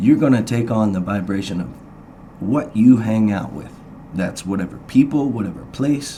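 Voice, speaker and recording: Speech at a moderate pace comes through with audible room echo and noticeable background noise. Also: man, fairly low pitch for a man, ordinary pitch variation, big swings in loudness. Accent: American. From Indiana, Hendricks County. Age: 40s. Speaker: blues musician. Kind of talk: radio interview. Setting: studio. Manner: halting.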